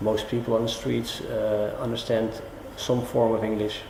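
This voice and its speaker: A man's medium-pitched voice in a Dutch accent, with audible room echo and noticeable background noise. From Netherlands. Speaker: business professional interviewed. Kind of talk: interview answers. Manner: halting, many fillers.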